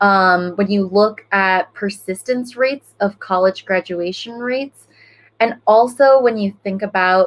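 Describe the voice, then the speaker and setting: A woman speaks with a Spanish accent at a medium pitch. Her intonation stays fairly even. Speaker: school board member, former teacher. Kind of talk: panel discussion. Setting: online livestream panel.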